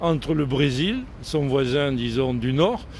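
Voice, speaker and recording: Noticeable background noise and audible room echo around a man speaking. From southern France, Montpellier. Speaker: French retiree living abroad. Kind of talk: outdoor interview. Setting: outdoors on a city square.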